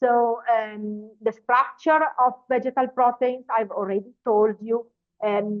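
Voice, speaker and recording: Speaking at a very slow pace, a woman keeps a fairly high pitch, very even loudness and fairly even intonation. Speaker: professor. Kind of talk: webinar lecture. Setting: online webinar. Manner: halting, many fillers and restarts.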